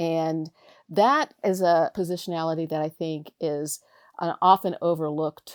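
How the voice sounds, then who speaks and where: Recorded very cleanly with a silent background and a dry, close sound with no echo, a woman speaks in an unremarkable speaking voice, fairly low in pitch, with fairly even intonation. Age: 60s. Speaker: professor and oral historian. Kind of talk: interview.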